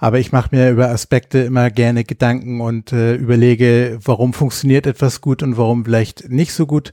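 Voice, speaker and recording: A man speaks at a fairly quick pace with hardly any pauses, his medium-pitched voice dark and mellow, his intonation flat and monotone, on a very clean, silent-background recording with a dry, close sound and no echo. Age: 40s. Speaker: podcast host, square dance caller. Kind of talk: casual chat.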